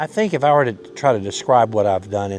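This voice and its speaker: Over noticeable background noise, a man with a fairly low pitch speaks in an Alabama accent. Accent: Southern US (Alabama). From Alabama, US South. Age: 70s. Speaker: lawyer and author. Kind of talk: documentary interview. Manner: halting, many repeated words; reflective.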